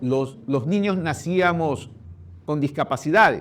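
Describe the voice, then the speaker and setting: In a very clean recording with a silent background, a man talks. His pitch is fairly high, with ordinary pitch variation. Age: 60s. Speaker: presidential candidate. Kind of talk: interview.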